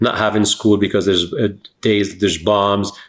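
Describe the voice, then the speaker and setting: Recorded very cleanly against a silent background, a man speaks at a fairly low pitch. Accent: Lebanese. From Lebanon. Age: 50s. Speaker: entrepreneur and investor. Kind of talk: interview. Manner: casual, conversational.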